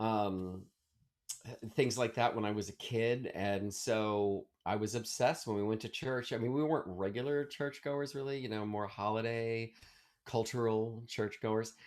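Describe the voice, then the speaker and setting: A man with an American accent, medium pitch, fairly even intonation and a moderate pace. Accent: Baltimore accent largely eliminated. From Maryland, US (Baltimore area, Ellicott City). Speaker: Broadway actor and singer. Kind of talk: casual interview chat. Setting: video call. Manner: hesitant, many fillers and restarts.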